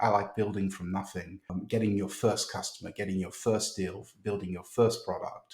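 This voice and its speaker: A somewhat breathy man with a British accent and a fairly low pitch. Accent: British, kept. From United Kingdom. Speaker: tech startup founder. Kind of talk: podcast interview. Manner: hesitant, many fillers and repeats.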